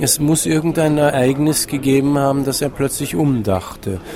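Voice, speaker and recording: A man's medium-pitched voice, moving at a moderate pace, carries over noticeable background noise. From Vienna, Austria. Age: 60s. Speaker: writer. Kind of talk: interview. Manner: halting, many fillers.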